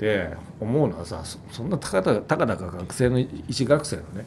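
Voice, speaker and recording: A man talks at a medium pitch with vocal fry. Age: 50s. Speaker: music company executive. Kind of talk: casual chat. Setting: office.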